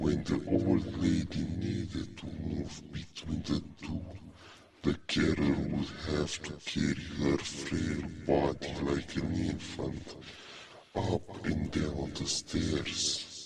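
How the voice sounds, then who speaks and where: A man speaks at a very slow pace in a put-on character voice. His pitch sits very deep and low. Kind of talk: horror narration. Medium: read story. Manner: slow, suspenseful.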